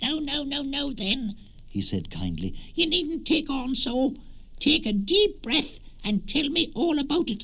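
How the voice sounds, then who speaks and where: A man does a put-on character voice at an extremely high pitch, speaking fairly slowly. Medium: read story. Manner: cross, then kindly.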